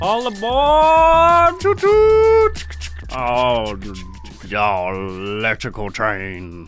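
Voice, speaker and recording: Over clear music in the background, a playful, put-on character voice moves at a very slow pace with long, frequent pauses. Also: man. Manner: playful, announcing.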